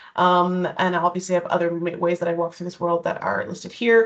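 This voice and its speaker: A fairly low female voice with a Canadian accent. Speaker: diversity and inclusion educator. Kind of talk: online presentation. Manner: fast; hesitant, many fillers.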